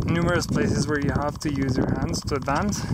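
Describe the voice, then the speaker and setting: Loud background noise surrounds a voice with ordinary pitch variation and a dry sound with no echo. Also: man. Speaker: hiker vlogger. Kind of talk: outdoor vlog narration; casual vlog chat. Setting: outdoors on a mountain pass. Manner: casual with fillers. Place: open country. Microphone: phone near.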